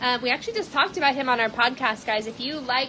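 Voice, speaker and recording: Loud, very fast speech with ordinary pitch variation and noticeable background noise. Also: woman. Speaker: cat shelter livestream host. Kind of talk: live stream chat. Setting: indoor shelter room, livestream.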